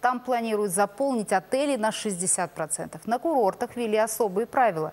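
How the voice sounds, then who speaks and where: Her pitch swinging very widely, a woman speaks. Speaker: news anchor. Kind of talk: news reading. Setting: studio. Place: studio.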